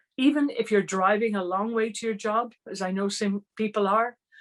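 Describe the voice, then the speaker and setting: Here a woman speaks with an Irish accent. Her pitch is fairly high and her pace moderate. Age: 60s. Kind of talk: online training talk.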